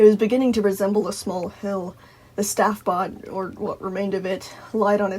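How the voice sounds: The speaker uses a natural reading voice.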